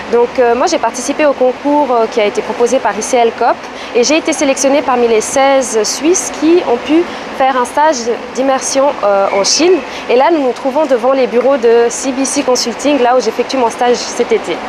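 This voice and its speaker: A woman's high-pitched voice at very even loudness amid noticeable background noise. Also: ordinary pitch variation, moderate pace. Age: 20s. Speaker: intern. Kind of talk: interview.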